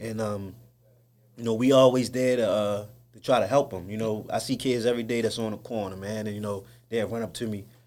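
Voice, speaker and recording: A man talks at a medium pitch in a flat monotone. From East Baltimore, Maryland, US. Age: 30s. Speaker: youth outreach worker. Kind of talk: casual interview.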